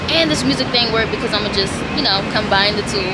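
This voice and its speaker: Talking very quickly, a woman competes with loud noise in the background. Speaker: vlogger. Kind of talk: casual vlog chat. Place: home room. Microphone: phone near.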